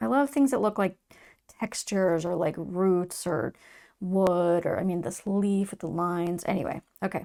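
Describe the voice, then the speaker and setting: Soft-spoken, calm woman's voice at medium pitch with a dark, mellow tone, on a very clean recording with a silent background. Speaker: tarot reader. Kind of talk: tarot reading.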